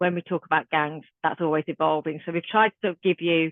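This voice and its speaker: A woman with a Birmingham accent, fairly low in pitch, flat and monotone, at a fairly quick pace. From Birmingham, England. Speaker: youth violence trainer. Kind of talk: online training workshop. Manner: casual.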